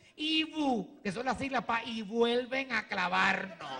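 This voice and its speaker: Raised and projected, a man's high-pitched voice with a Puerto Rican accent comes across with an animated tone and lively intonation over light background noise. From Puerto Rico. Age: 40s. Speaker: comedian. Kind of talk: stand-up. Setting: stage with audience. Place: stage. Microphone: handheld.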